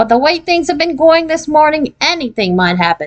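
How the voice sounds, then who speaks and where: Using a put-on character voice, a woman speaks at a fairly quick pace with a high pitch. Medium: read story. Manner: flustered, apologetic.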